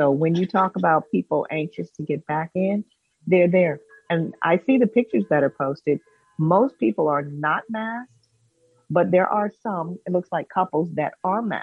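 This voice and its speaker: Here is a woman with an unremarkable speaking voice and a fairly low pitch. She speaks at a moderate pace with lively intonation. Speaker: professor. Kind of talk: talk radio discussion. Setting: video call.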